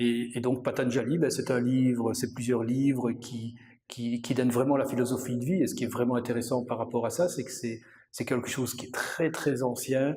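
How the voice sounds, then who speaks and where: At a moderate pace, a man talks in a somewhat breathy voice with monotone, flat intonation. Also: medium pitch for a man. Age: 60s. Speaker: yoga teacher and accountant. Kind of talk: interview. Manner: halting, many hesitations.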